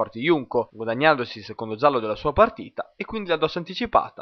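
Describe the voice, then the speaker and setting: Speaking at a very fast pace, a man swings very widely in pitch. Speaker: match commentator. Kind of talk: recorded play-by-play match recap in sports commentary, narrated over highlights. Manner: fluent, brisk, dramatic narration with vivid phrasing; formal, polished journalistic Italian, rhythmic and steady.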